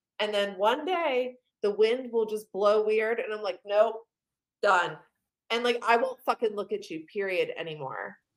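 A woman with a plain, everyday voice, fairly high in pitch, at a fairly slow pace with ordinary pitch variation. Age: 30s. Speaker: podcast guest, content creator. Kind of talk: casual chat.

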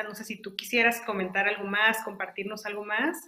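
Against noticeable background noise, a woman speaks at a fairly quick pace with a fairly high pitch. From Mexico, Saltillo, Coahuila. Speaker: podcast host. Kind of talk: interview.

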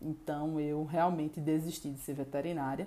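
A woman speaks at a moderate pace. Her fairly low voice has a dark, mellow tone. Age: 30s. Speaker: chemical engineer. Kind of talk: personal testimony.

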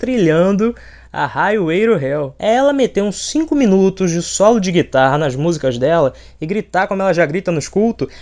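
At a moderate pace, a man with a high pitch speaks with very wide pitch swings over a quiet background. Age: 20s. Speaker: podcast host, journalist. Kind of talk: casual comedic monologue.

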